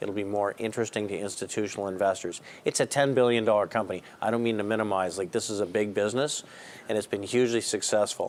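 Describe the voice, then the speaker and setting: A man with a Canadian accent and an unremarkable speaking voice, fairly quick in pace, with fairly even intonation. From Canada. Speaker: investment strategist. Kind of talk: call-in market commentary.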